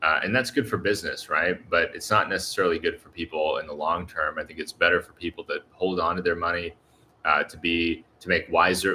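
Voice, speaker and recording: Fairly quick speech from a man in an American accent. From US Southeast. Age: 30s. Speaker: YouTuber, expat vlogger. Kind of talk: live stream chat with viewers. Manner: casual, with many fillers.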